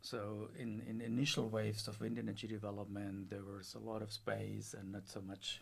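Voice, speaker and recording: A man's somewhat breathy voice at a fairly low pitch, with fairly even intonation and a moderate pace, in a German accent. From Germany. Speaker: professor. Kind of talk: interview. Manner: hesitant, with fillers.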